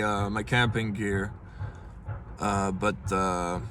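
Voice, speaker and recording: Room echo is audible as a man speaks at a very slow pace. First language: Dutch. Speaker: vlogger. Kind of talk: casual vlog. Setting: inside a car. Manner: halting, many fillers.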